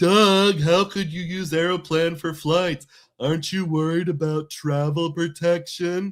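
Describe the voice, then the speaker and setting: A man puts on a character voice, pitched high. He talks fairly slowly with monotone, flat intonation. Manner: nerdy, concerned.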